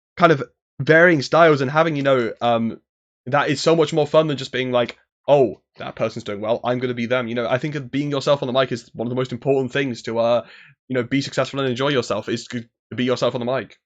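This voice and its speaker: Talking at a very fast pace, a man holds a medium pitch and fairly even intonation. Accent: British. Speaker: esports commentator. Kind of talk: casual chat.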